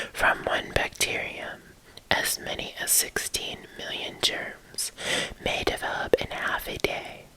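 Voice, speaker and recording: Whispering at a very slow pace, a woman's voice rises and falls a lot in loudness over noticeable background noise. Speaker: ASMR creator. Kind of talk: ASMR textbook reading. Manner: whispered.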